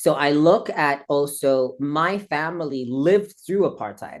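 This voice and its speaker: A woman with a slight South African accent speaks in a very deep, low voice, her pitch rising and falling in an ordinary way over a quiet background. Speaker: interview guest. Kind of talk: interview conversation. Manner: animated.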